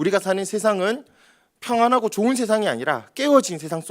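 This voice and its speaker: A man's high-pitched voice with a strong Gyeongsang accent at a fairly quick pace. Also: very clean recording, silent background. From Daegu, South Korea. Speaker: pastor. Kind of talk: sermon.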